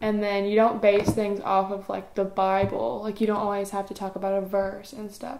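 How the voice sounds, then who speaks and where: With hardly any pauses, a woman speaks in a flat monotone over noticeable background noise. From East Tennessee. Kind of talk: interview answer. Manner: casual, chatty.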